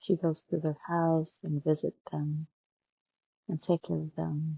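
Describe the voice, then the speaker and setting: A woman speaks with a very deep, low pitch. Her voice is somewhat breathy. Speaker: healthcare worker. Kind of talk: personal story told casually.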